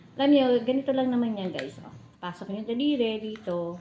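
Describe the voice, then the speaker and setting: Soft-spoken and fairly quick, a woman talks at a fairly high pitch with lively intonation. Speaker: vlogger. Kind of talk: casual vlog narration.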